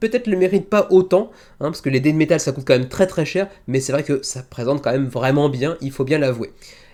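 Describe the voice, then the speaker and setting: A man's fairly high voice, with ordinary pitch variation, comes through on a very clean recording over a silent background. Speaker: board game video host. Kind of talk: solo video review show. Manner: fast; stumbling over words.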